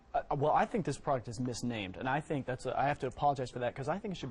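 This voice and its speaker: At a very fast pace, a man talks in a medium pitch with ordinary pitch variation and a somewhat breathy voice. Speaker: dermatologist. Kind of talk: TV shopping segment guest. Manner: enthusiastic, persuasive.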